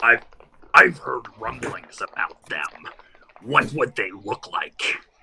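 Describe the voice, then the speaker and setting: A man puts on a raspy character voice and delivers his lines at a fairly slow pace. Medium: actual play. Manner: quiet, guarded.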